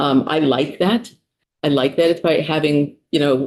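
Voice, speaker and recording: The speaker talks at a fairly slow pace in a New York accent. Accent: New York City. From US, New York City. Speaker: psychologist, state official testifying. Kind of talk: committee testimony. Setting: legislative committee room.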